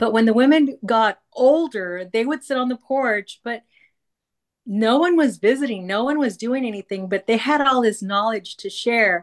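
An unremarkable speaking voice at a moderate pace, with ordinary pitch variation and a dry, close sound with no echo. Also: woman, fairly high pitch for a woman. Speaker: retired teacher and podcaster. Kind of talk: casual chat.

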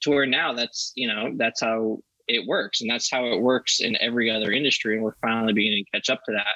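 A man talks at a very fast pace with medium pitch and fairly even intonation. His loudness stays very even. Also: dry, close sound with no echo. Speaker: industry company representative. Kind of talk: casual chat.

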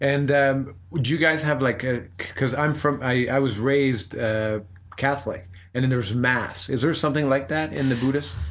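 With a Canadian accent, a man talks at a moderate pace in an ordinary speaking voice of medium pitch, showing ordinary pitch variation and very even loudness. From Canada. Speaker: podcast host. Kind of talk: interview, casual conversation. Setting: Buddhist center.

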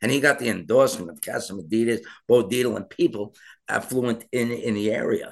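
With an American accent and an unremarkable speaking voice, a man talks at a fairly quick pace and medium pitch, his intonation lively. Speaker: mayoral candidate. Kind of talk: political interview.

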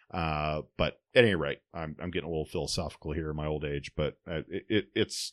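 A man's very deep, low voice at a moderate pace, dry and close with no echo, over a quiet background. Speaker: podcast host. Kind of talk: casual chat.

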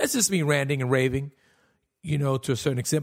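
The man's voice is somewhat breathy. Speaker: podcast host and comedian. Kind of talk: casual solo podcast monologue, comedic. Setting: home recording, alone. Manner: candid, self-deprecating, profane.

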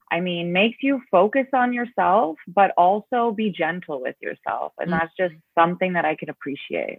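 With a plain, everyday voice, a woman talks at a moderate pace with lively intonation and hardly any pauses. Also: medium pitch for a woman. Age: 30s. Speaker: person in recovery. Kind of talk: casual chat.

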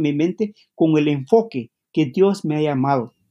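Lively intonation marks this man's speech. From Guatemala, Maya community. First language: Q'anjob'al (Mayan language) (speaking Spanish). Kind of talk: interview. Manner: halting.

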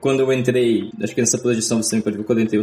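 Flat, monotone delivery from a man at medium pitch. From Brazil, Espírito Santo (Grande Vitória). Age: 20s. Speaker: software engineer. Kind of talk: podcast interview.

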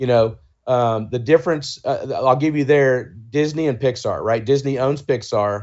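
A man talks in a normal speaking voice. His pitch is medium. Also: ordinary pitch variation, moderate pace. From US South, Georgia. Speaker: author and brand agency founder. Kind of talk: interview.

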